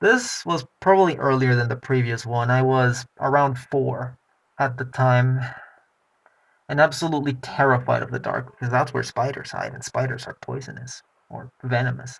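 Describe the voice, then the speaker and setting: A man's somewhat breathy voice at medium pitch. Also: fairly even intonation, moderate pace, big swings in loudness. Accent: non-native. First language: not English. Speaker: personal vlogger. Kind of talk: personal testimony.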